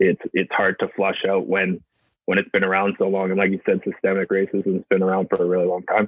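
A man talks at a fairly quick pace. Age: 20s. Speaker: professional rugby player. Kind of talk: interview.

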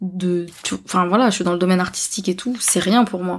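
A woman speaks at a fairly slow pace and medium pitch, somewhat breathy, with fairly even intonation. The recording is very clean, with a silent background. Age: 30s. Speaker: podcaster. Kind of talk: casual chat.

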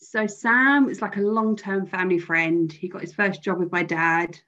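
In a British accent, a woman speaks at a medium pitch and a moderate pace with fairly even intonation. The background is quiet. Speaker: bereaved friend. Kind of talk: testimony. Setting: video call.

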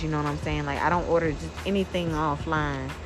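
Music can be heard behind the voice. The words come out at a very fast pace. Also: woman. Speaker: podcast host. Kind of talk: casual solo talk. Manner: casual, with many fillers.

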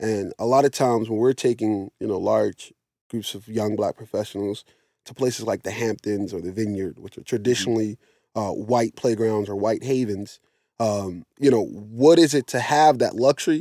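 Recorded very cleanly against a silent background, with a dry, close sound and no echo, a man speaks at a medium pitch in a dark, mellow tone, his loudness swinging widely. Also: ordinary pitch variation, moderate pace. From Philadelphia, West Philadelphia. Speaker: travel company founder. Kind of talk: casual interview.

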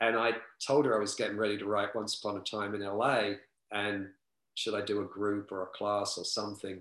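With a London accent, a man delivers his words at a fairly quick pace. His pitch is fairly low and his intonation monotone and flat. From London, East End. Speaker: author and club promoter. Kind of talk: casual interview. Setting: video call.

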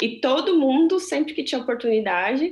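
Noticeable background noise runs through the clip. The speaker talks at a fairly quick pace. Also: woman. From Brazil. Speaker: chocolatier and small business owner. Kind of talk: interview conversation. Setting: video call.

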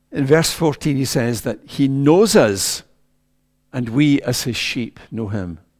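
In a Scottish accent, a man speaks at a very slow pace with a medium pitch and lively intonation. The recording is very clean, with a silent background. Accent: Scottish (Ayrshire). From Scotland, Ayrshire. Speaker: preacher. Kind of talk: sermon.

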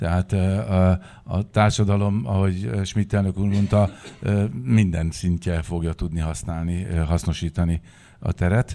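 A man's very deep, low voice with a dark, mellow tone, at a fairly slow pace with ordinary pitch variation. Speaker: sports federation secretary general. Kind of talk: panel discussion.

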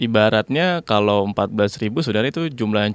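This man's voice sits fairly low in pitch. The sound is dry and close, with no echo. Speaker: former student abroad, international business graduate. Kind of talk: interview. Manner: hesitant with many fillers.

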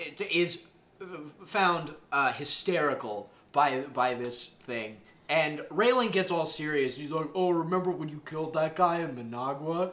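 A man with a normal speaking voice and fairly high pitch talks at a fairly slow pace, his intonation lively. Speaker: podcast host. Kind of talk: casual chat. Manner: talkative, joking.

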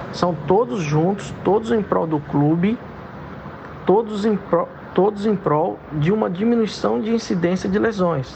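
A fairly slow, lively-sounding man's voice, high-pitched, with very even loudness and noticeable background noise. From Brazil, Minas Gerais (Belo Horizonte). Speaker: football club physiotherapist. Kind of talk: interview.

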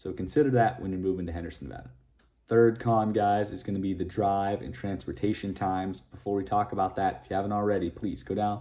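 A man with an American accent, a fairly low pitch and a dark, mellow tone, at a fairly quick pace. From US Northeast. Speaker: real estate YouTuber. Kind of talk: video monologue.

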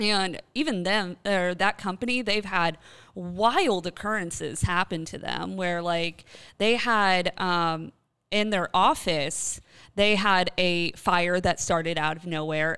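Recorded very cleanly against a silent background, a woman speaks very slowly in a bright, sharp tone at medium pitch with ordinary pitch variation. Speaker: podcast host, paranormal specialist. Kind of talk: casual chat, ghost story telling. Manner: animated, conversational.

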